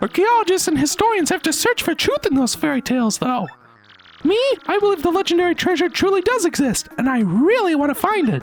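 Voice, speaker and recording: In a squeaky, put-on character voice, a man talks fairly quickly at an extremely high pitch. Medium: game stream. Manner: rambling, scholarly.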